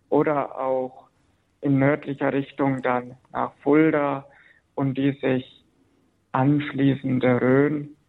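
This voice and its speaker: A man with a fairly high pitch speaks very slowly in a flat monotone, leaving long, frequent pauses. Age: 30s. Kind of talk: radio interview. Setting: phone call. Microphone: telephone line.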